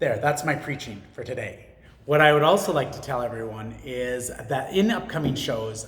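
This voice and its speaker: Over noticeable background noise, a man speaks at a moderate pace. His pitch is fairly high, and his loudness swings a lot. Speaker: vlogger and small business owner. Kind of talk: casual monologue. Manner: halting, many fillers.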